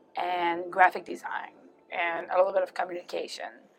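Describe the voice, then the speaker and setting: A woman at a medium pitch with a French Canadian accent, talking at a fairly quick pace. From Quebec, Canada. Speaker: executive producer in show production. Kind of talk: interview. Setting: interview booth at a trade fair.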